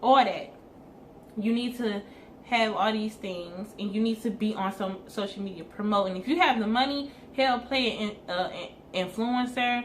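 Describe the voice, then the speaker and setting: Audible room echo surrounds a woman's fairly high-pitched voice. She talks at a moderate pace with ordinary pitch variation. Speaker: hair business owner and vlogger. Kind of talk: casual advice talk to camera.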